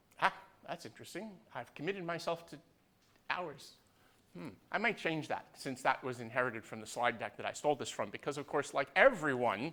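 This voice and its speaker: A bright, sharp tone with lively intonation, a fairly quick pace, and long, frequent pauses. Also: man, fairly high pitch for a man, big swings in loudness. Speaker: university lecturer. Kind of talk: lecture. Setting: lecture hall, streamed live. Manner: loud; casual, digressive.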